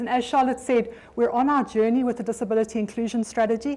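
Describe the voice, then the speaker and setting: A woman speaks at a very fast pace with a South African accent. Her pitch sits fairly high. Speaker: occupational health physician, development bank staff, speaker. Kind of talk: conference presentation. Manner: halting, with frequent fillers and repetitions.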